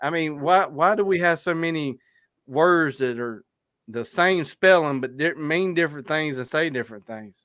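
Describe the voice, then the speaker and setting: A man with an American accent, fairly high pitch, ordinary pitch variation and a moderate pace, against a quiet background. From South Carolina. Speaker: hunting podcast host. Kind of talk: casual chat.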